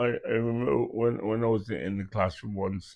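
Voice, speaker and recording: A man talks with a Grenadian accent. He keeps a fairly slow pace. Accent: Grenadian Caribbean. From Carriacou, Grenada. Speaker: musician. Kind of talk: oral history interview answer. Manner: hesitant, reminiscing.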